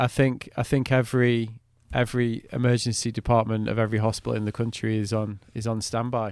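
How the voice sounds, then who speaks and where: A man with a southern English accent speaks at a fairly quick pace, his medium-pitched voice held in a flat monotone. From UK. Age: 40s. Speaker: podcast host. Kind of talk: casual interview chat.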